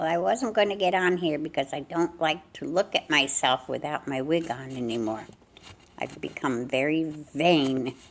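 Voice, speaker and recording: Her pitch is very deep and low for a woman. She speaks at a moderate pace. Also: lively intonation. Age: 80s+. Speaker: family vlogger. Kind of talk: casual chat. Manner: rambling conversational.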